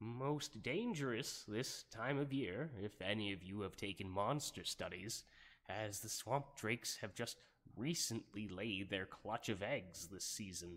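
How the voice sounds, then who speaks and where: Fairly slow pace in a put-on character voice from a man. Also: fairly low pitch for a man. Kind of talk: ASMR roleplay. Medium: solo performance. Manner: hesitant, rambling, many filler words.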